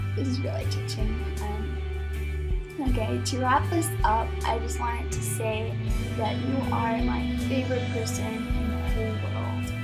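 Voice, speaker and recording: A woman speaks at a fairly slow pace with long, frequent pauses. Loud music plays in the background. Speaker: vlogger. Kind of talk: casual talk to camera. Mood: playful mock-sentimental. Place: home room. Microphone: webcam.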